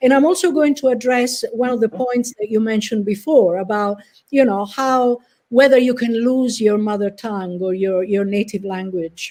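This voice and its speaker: At a moderate pace, a woman speaks with a dark, mellow tone and fairly high pitch, using ordinary pitch variation. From Italy. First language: Italian. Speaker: professor. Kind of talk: lecture.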